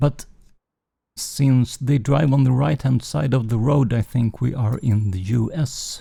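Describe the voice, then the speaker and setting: A man's medium-pitched, dark, mellow voice, somewhat breathy, in a Swedish accent, with ordinary pitch variation and a fairly slow pace. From Sweden. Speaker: gaming streamer. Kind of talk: live game stream commentary. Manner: halting, many fillers.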